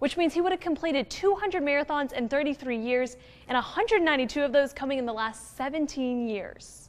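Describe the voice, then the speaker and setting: A woman speaks at a fairly quick pace in a high pitch. Her intonation is lively. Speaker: TV news reporter. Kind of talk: TV news report narration. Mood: upbeat, friendly. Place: studio. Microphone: lapel.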